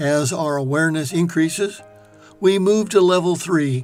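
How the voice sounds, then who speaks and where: The voice moves at a moderate pace with music playing in the background. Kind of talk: reflective talk on life.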